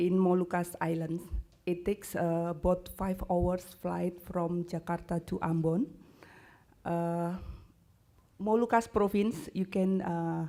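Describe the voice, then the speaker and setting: With an Indonesian accent, a woman speaks at a very slow pace with long, frequent pauses, in a dark, mellow tone at a fairly low pitch and with monotone, flat intonation. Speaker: university lecturer. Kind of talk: conference presentation. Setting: conference stage with audience. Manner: halting, many hesitations.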